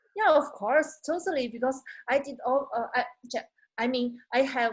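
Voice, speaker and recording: A woman speaks with a Chinese accent. Her pitch is high. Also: ordinary pitch variation, moderate pace. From China. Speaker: job applicant, digital marketer. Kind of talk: interview practice lesson. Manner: halting, hesitant non-native speech.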